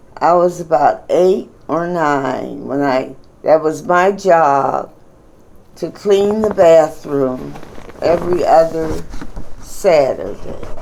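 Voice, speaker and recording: With an American accent, a woman talks at a very slow pace and a fairly low pitch, her pitch varying in an ordinary way over noticeable background noise. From Pittsburgh, Pennsylvania, US. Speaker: grandmother telling her life story. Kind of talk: oral history interview.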